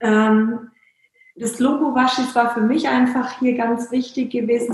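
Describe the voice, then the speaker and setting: A high-pitched woman's voice, monotone and flat in intonation. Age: 40s. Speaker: startup founder. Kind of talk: interview. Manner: hesitant, many filler sounds.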